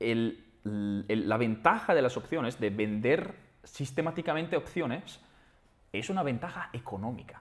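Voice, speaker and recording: A man talks fairly slowly with lively intonation at a medium pitch. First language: Italian (speaking Spanish). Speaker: trader and trading platform founder. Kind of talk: interview. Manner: halting, many false starts and repetitions.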